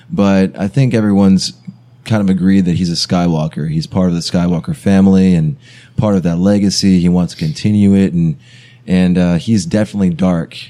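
An American-accented man talks fairly quickly in a very deep, low pitch, his tone dark and mellow and his loudness very even. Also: ordinary pitch variation. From US South, South Carolina. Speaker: podcast guest. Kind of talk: casual chat.

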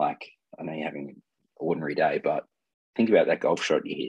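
A man with an Australian accent. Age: 30s. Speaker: mental health advocate sharing lived experience. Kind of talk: interview about personal experience. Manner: halting, many fillers and repeats.

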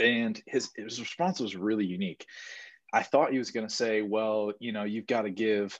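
A man's fairly low-pitched, normal speaking voice at a moderate pace, with ordinary pitch variation and a quiet background. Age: 20s. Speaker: podcast co-host, young business owner. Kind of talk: casual chat.

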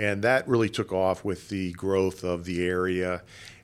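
A man with an American accent speaks at a fairly low pitch. The recording is very clean, with a silent background. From South Florida (Boca Raton). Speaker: nonprofit foundation president. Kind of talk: interview. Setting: office. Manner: hesitant, many fillers.

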